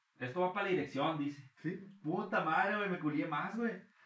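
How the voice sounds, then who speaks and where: There is audible room echo as a man with a Mexican accent talks at a fairly slow pace with lively intonation. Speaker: freestyle rapper. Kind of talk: casual chat.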